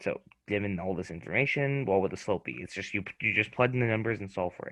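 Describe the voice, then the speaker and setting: A man with a fairly low pitch talks very fast, his pitch varying in an ordinary way. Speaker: student tutor. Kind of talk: tutoring lesson. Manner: talkative, verbal; halting with many fillers.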